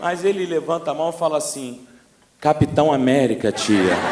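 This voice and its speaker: Over noticeable background noise and audible room echo, a man speaks with lively intonation at a fairly high pitch. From Brazil, Rio de Janeiro (Baixada Fluminense). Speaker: pastor. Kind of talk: sermon. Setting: church. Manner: animated.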